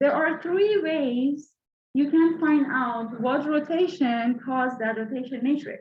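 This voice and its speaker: A woman's high pitch at a very slow pace, with ordinary pitch variation and audible room echo. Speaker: university lecturer. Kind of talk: lecture. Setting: classroom with mic. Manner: loud.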